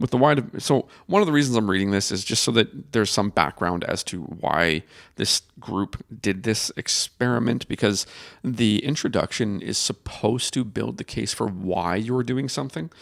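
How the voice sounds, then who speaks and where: A man speaks at a fairly low pitch with vocal fry and lively intonation. His pace is moderate, and the sound is dry and close with no echo. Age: 40s. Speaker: osteopathic podcast host. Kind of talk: paper discussion with reading aloud. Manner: casual, halting with stumbles.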